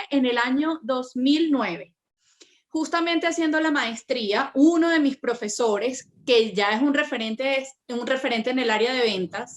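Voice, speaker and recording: In a Venezuelan accent, a woman with a high pitch speaks at a moderate pace with lively intonation. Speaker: personal branding consultant. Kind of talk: interview.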